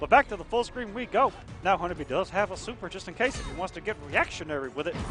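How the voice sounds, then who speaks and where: Over music in the background, a man talks at a fairly quick clip in a raised, projected voice. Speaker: esports commentator. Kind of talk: live commentary. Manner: animated.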